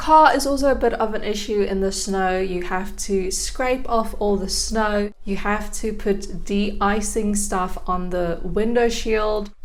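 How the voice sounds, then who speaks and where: Through noticeable background noise and audible room echo, a woman with a medium pitch and ordinary pitch variation speaks at a fairly slow pace with hardly any pauses. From South Africa, Gauteng. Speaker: YouTube vlogger. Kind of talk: casual vlog talk to camera.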